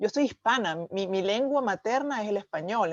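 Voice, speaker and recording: Against a quiet background, with a dry, close sound and no echo, a woman uses a normal speaking voice at a medium pitch, a moderate pace and lively intonation. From Venezuela. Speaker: channel host. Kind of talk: interview conversation.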